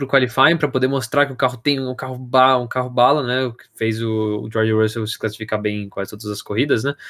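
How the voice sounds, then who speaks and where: With an ordinary speaking voice, a man talks at a fairly quick pace, his medium pitch and fairly even intonation captured in a very clean recording with a silent background. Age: 20s. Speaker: podcast host. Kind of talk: casual chat.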